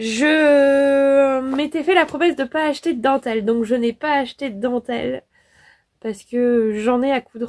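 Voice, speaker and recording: A fairly slow pace with ordinary pitch variation, in a dry, close sound with no echo. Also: woman, high pitch for a woman. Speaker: sewing youtuber. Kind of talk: casual vlog talk. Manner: hesitant, many fillers.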